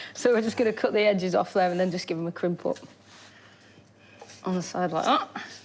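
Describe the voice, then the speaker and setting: Over noticeable background noise, a woman with a northern English accent talks at a very fast pace broken by long, frequent pauses, her medium pitch showing ordinary variation. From northern England. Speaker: chef. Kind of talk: cooking demonstration.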